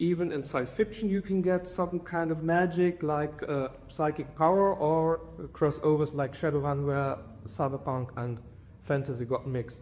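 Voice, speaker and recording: A man with a German accent speaks at a moderate pace in a fairly high pitch, with ordinary pitch variation. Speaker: conference speaker. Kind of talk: academic conference talk. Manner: halting, many fillers.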